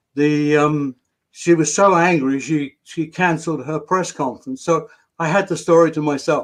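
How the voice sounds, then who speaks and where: At a moderate pace, a man with a British accent speaks with a fairly high pitch and fairly even intonation. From Britain. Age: 80s+. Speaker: retired tabloid journalist and novelist. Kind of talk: interview storytelling.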